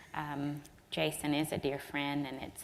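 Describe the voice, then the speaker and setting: In a Southern US accent, a woman speaks. Her pitch is very deep and low. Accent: Southern US, slow. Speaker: energy regulator. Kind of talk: keynote remarks.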